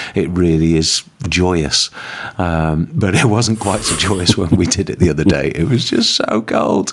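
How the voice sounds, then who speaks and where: At a fairly slow pace, a man speaks in a very deep, low pitch against noticeable background noise. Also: ordinary pitch variation. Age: 50s. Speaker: podcast host. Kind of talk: casual chat.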